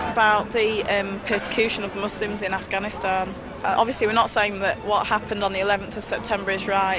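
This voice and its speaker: A woman with a Yorkshire accent at medium pitch and a fairly quick pace, monotone and flat, with audible room echo and music in the background. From England, Sheffield area. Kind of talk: documentary interview.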